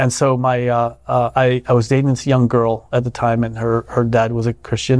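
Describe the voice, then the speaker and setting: At a moderate pace with hardly any pauses, a man speaks at a medium pitch in a flat monotone with very even loudness. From Vietnam, raised abroad speaking French and Vietnamese. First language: Vietnamese. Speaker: Senate candidate, retired Navy officer. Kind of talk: interview conversation.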